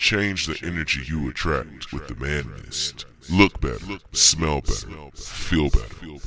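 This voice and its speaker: This man speaks very slowly with almost no pauses, his very deep voice carrying vocal fry, lively intonation and big swings in loudness. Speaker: ad pitchman. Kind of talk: radio ad pitch, street-seller style.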